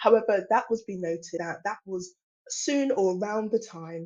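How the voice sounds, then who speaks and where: A woman speaks with an English accent at a moderate pace. Her intonation is lively. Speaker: industry policy presenter. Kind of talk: webinar presentation.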